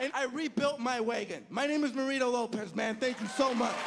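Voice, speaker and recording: Over crowd noise and audible room echo, a man with an extremely high pitch speaks at a moderate pace. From El Salvador. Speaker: stand-up comedian. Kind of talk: stand-up. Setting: stage with audience.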